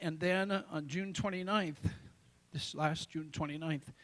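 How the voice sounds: At a fairly slow pace, a man talks with fairly high pitch, a fairly bright tone and fairly even intonation.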